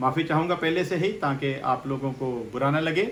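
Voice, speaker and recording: A man speaks with fairly even intonation. Audible room echo surrounds his voice. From Punjab, India. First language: Punjabi (speaking Hindi). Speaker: pastor. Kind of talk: sermon.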